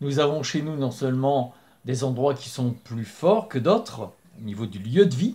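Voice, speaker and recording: His voice is somewhat breathy and dark and mellow in tone. The man talks fairly slowly with very wide pitch swings. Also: medium pitch for a man. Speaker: spiritual channel host. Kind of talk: spoken talk to camera. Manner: hesitant with fillers.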